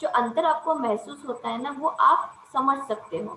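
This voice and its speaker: A woman's high-pitched voice with a non-native accent and ordinary pitch variation, amid noticeable background noise and audible room echo. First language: not Kannada (speaking Hindi). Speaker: college lecturer. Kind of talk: lecture.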